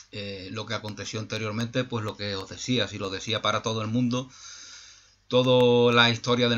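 A man speaks at a moderate pace and medium pitch, his intonation flat and monotone. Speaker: YouTube channel host, spiritual speaker; YouTube channel host, speaker. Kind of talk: reflective monologue. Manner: halting, many repetitions and fillers. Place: home room. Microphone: webcam.

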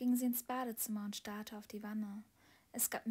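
The intonation holds fairly even while this person is reading aloud in a natural voice.

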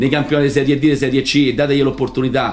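A man speaks at a very fast pace. His voice is fairly high, with a Roman accent. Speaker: football coach. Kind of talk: press conference rant. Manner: heated, colourful. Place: meeting room. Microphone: podium.

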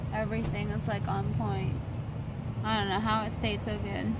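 Loud background noise fills the recording. Over it, a woman talks at a moderate pace. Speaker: vlogger. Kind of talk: casual vlog chat.

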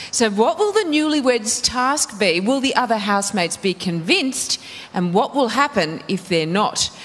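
A woman speaks at a moderate pace with an Australian accent and a fairly high pitch. Her pitch swings very widely while her loudness stays very even. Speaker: reality TV show host. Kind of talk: TV presenting. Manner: animated. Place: studio. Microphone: handheld.

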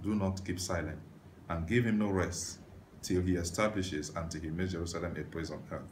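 A man speaks at a moderate pace in a very deep, low voice that is somewhat breathy, with light background noise. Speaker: preacher. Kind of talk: sermon scripture reading. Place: home room.

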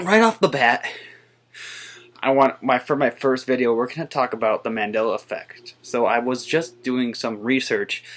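The pace is moderate, the tone fairly bright, and the pitch varies in an ordinary way. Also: man, medium pitch for a man.

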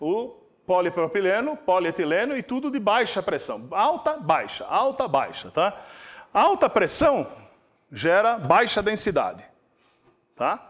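Over a quiet background, a man talks in a high pitch with very wide pitch swings. Long, frequent pauses break up his speech. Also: fairly slow pace. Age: 60s. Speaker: industrial chemist giving a guest lecture; invited industry lecturer. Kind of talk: lecture. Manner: casual, frequent filler tags. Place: hall. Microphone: lapel.

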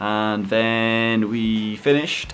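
This man talks at a medium pitch in a Yorkshire accent. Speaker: gaming YouTuber and vlogger. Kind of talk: casual vlog. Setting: in a car. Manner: animated.

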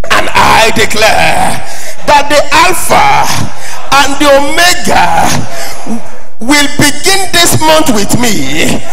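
A man speaks at a very slow pace with clear music in the background. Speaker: preacher. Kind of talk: sermon. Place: church. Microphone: handheld.

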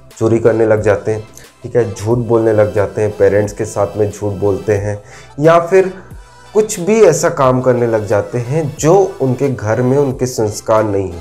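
A man talks fairly slowly with faint music in the background. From Madhya Pradesh, India. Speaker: motivational speaker. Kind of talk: motivational talk to camera. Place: home room. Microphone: lapel.

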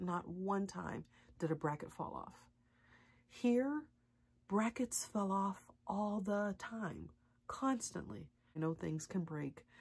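A woman speaks very slowly, in a somewhat breathy voice. Her pauses are long and frequent. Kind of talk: casual vlog chat. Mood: frustrated, complaining. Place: bathroom. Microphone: phone near.

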